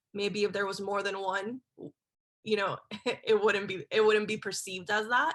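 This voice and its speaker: A woman speaks with an American accent. Her tone is bright and sharp, and her intonation is fairly even. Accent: Miami accent largely coached away in New York. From Miami, Florida (Spanish-speaking home). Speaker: journalist. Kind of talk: panel discussion.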